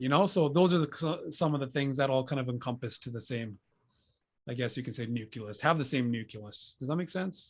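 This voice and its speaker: Somewhat breathy and medium-pitched, a man talks at a fairly quick pace over a quiet background. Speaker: podcast host. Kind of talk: casual chat. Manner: monotone.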